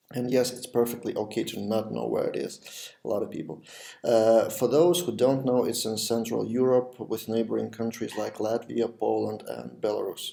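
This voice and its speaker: A man speaks with a Lithuanian accent. His pace is moderate. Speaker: web development podcast host. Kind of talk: video podcast monologue. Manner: some pauses, non-native pace.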